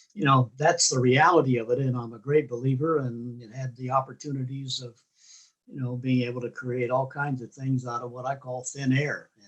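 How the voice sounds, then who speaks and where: Monotone, flat intonation marks this man's medium-pitched voice. It is somewhat breathy, with big swings in loudness. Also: moderate pace. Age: 70s. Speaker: club founder. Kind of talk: interview.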